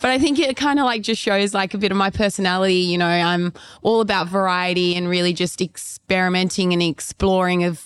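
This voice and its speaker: With an Australian accent, a woman of medium pitch talks at a fairly quick pace with hardly any pauses and very even loudness. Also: very clean recording, silent background. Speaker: former pole vaulter and fitness trainer. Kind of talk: casual interview. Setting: on location at a fitness retreat.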